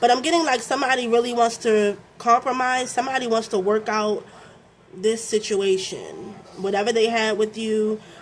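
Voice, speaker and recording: A woman with an American accent speaks at a moderate pace in a fairly high pitch with ordinary pitch variation, over noticeable background noise. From Baltimore, Maryland, US. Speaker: tarot reader. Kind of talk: tarot reading. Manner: casual, conversational with many fillers.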